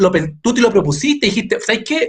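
A man's extremely high-pitched voice at a very fast pace. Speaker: web show host. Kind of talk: casual interview chat.

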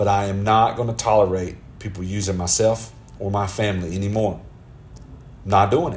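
Over music in the background and with audible room echo, a man with a Southern US accent talks fairly quickly at a fairly low pitch, his intonation fairly even and his pauses long and frequent. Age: 30s. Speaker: podcaster. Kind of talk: casual monologue. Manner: conversational.

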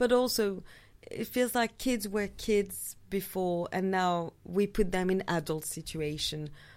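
Speaking with a French accent at a medium pitch, a woman is heard in a very clean recording over a silent background. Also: ordinary pitch variation, fairly slow pace. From France. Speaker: film enthusiast guest. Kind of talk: casual chat; trivia clue reading.

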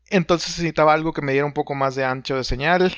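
This man has a fairly high pitch and speaks with a Mexican accent. His pitch varies in an ordinary way. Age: 30s. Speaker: podcast co-host, audio editor. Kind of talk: casual chat.

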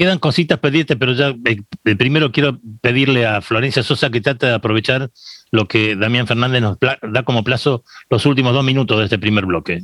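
A man with a Rioplatense accent talks at a fairly quick pace in a medium pitch, his loudness very even and the sound dry and close with no echo. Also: ordinary pitch variation. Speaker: radio host. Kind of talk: interview.

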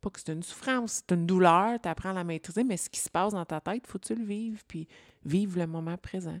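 On a very clean recording with a silent background and a dry, close sound with no echo, a woman speaks at medium pitch. Her loudness swings widely while her pitch variation stays ordinary. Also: fairly quick pace. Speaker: podcast co-host, entrepreneur. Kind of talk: interview in casual chat.

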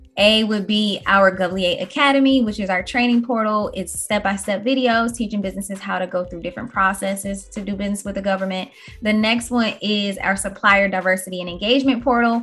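Hardly pausing, a woman talks at a fairly quick pace with fairly even intonation. She has an ordinary speaking voice at a medium pitch. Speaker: podcast host. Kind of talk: casual chat.

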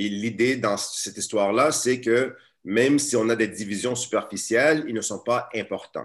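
Against a quiet background, a man with an unremarkable speaking voice talks at a moderate pace and medium pitch, his intonation fairly even. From Montreal area, Quebec. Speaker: teacher and activist. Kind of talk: webinar talk. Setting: video call.

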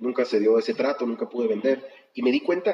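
This man rushes along at a very fast pace, his medium pitch showing ordinary variation. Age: 50s. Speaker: real estate broker. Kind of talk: interview.

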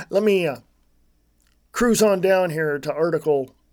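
A man speaks with an American accent. His pace is fairly slow and his pitch variation ordinary. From United States. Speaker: political podcast host. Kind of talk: solo commentary monologue. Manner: casual, halting with fillers.

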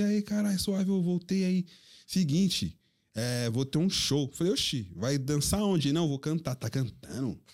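A plain, everyday voice with lively intonation speaks at a moderate pace on a very clean recording with a silent background. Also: man. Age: 30s. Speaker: DJ. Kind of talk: casual chat.

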